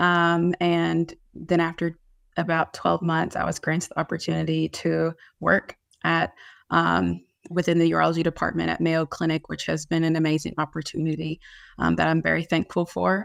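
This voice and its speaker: The speaker has a Kentucky accent and a moderate pace. The recording is very clean with a silent background. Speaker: nurse practitioner in urology. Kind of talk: panel presentation. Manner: hesitant with frequent fillers.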